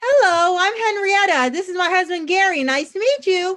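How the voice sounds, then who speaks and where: A squeaky, put-on character voice moves at a moderate pace with lively intonation. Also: woman, extremely high pitch for a woman. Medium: stage play. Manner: polite, dry.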